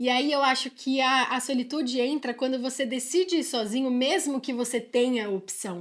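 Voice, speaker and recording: A woman speaks with a high pitch at a moderate pace. Her loudness stays very even, with hardly any pauses. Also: ordinary pitch variation. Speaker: podcast co-host. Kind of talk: casual chat.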